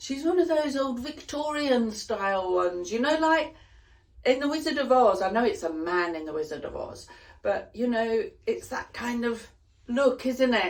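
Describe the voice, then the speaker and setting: Her pitch fairly high, a woman speaks at a fairly slow pace with very wide pitch swings. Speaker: knitting vlogger. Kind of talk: casual vlog. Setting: summer house. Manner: chatty, animated.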